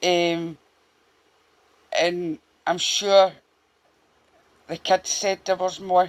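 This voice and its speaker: Someone with a Glaswegian accent speaks at a very slow pace with long, frequent pauses, on a very clean recording with a silent background. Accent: Glaswegian Scottish. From Scotland, Glasgow (Castlemilk). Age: 40s. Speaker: true crime YouTuber. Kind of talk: casual storytelling monologue to camera. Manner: halting, many fillers.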